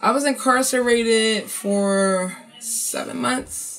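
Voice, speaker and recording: Over music in the background, a woman with an American accent speaks with ordinary pitch variation. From North Philadelphia. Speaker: hip-hop artist and advocate. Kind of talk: interview answer.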